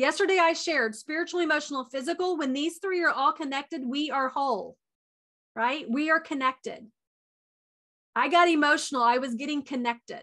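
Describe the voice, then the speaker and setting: Her voice is high-pitched, bright and sharp, raised and projected. The woman speaks at a fairly quick pace with ordinary pitch variation. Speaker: wellness coach. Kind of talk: online retreat talk.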